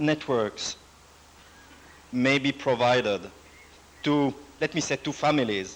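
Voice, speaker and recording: At a very slow pace, a man with a non-native accent speaks with ordinary pitch variation. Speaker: computer network project director. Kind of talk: lecture. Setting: university presentation with audience. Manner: formal, some hesitation.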